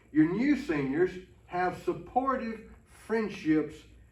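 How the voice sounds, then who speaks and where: A man's very slow speech in an American accent, with very wide pitch swings and audible room echo. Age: 60s. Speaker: pastor. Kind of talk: ministry training talk. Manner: folksy, conversational.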